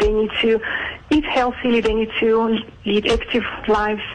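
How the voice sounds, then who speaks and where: The speaker has a Georgian accent, with noticeable background noise behind the voice. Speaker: aesthetic clinic doctor. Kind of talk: radio interview. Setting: phone call.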